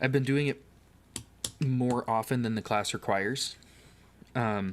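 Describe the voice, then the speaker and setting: Soft-spoken, a man talks at a moderate pace. His medium pitch shows ordinary variation. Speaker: livestreamer. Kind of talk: casual livestream chat while building. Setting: home livestream on camera.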